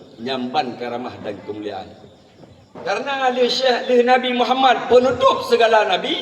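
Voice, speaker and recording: Noticeable background noise sits behind a man's high-pitched voice. He moves at a moderate pace, his pitch swinging very widely. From Aceh. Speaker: Islamic preacher. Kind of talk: humorous sermon. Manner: relaxed, jokey.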